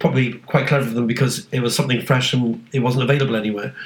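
Over noticeable background noise, a man with a British accent talks at a very fast pace and a medium pitch. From UK. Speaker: podcast co-host. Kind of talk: casual chat.

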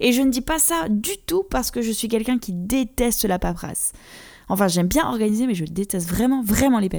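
A woman's fairly high, unremarkable speaking voice with lively intonation and a fairly quick pace on a very clean recording with a silent background. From France. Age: 30s. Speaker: podcast host. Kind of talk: casual podcast monologue.

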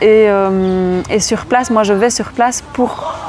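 Noticeable background noise behind a woman speaking very slowly, her medium pitch moving with ordinary variation. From Belgium. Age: 30s. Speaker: charity founder, former primary school teacher. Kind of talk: interview. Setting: outdoors in a park. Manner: animated.

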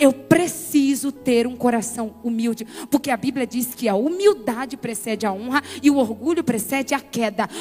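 This woman sounds animated, her pitch high with ordinary variation. She talks at a moderate pace over noticeable background noise. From Brazil, Bahia sertão (Conceição do Coité). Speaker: pastor and motivational speaker. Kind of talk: sermon.

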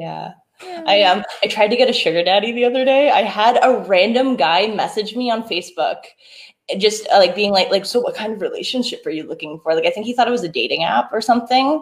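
Very fast and lively in intonation, a woman speaks in a fairly high voice. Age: 20s. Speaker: comedian and podcast host. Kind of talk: casual chat. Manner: animated, descriptive, talkative.

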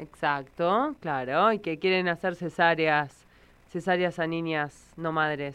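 Speaking very slowly, a woman keeps a fairly low pitch that varies in an ordinary way. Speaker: radio host. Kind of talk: radio talk show. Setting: radio studio.

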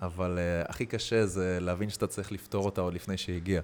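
Here a man talks in a very deep, low pitch. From Israel. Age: 20s. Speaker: athlete, footvolley champion and former footballer. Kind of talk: casual interview chat.

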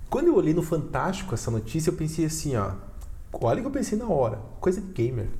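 A man's fairly high voice at a very fast pace with very wide pitch swings and audible room echo. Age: 30s. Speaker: podcast host. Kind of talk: casual chat. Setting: studio.

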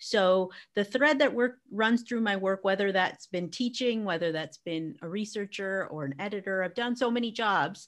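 With an American accent and lively intonation, a woman talks in an ordinary speaking voice on a very clean recording with a silent background. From US, Arizona. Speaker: educator and business strategist. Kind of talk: interview conversation.

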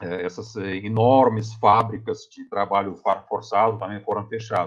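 In a Russian accent, a man at medium pitch talks at a fairly slow pace against a quiet background. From Russia, Tomsk region (Siberia). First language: Russian (speaking Portuguese). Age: 50s. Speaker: physics professor. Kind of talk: interview testimony. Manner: halting.

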